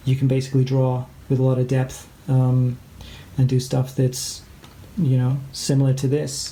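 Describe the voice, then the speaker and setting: A man at medium pitch and moderate pace, with a slight Canadian accent. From England and Canada. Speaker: art teacher. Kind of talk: tutorial. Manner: hesitant, many fillers.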